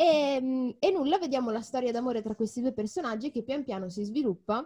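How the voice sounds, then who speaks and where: Lively intonation runs through a dark, mellow tone delivered at a moderate pace. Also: woman. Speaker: podcast co-host. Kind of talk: casual chat.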